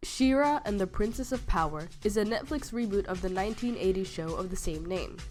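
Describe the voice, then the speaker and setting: A woman's enthusiastic voice with lively intonation, music playing in the background. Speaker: artist and reviewer. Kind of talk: video review voiceover. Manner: casual, enthusiastic.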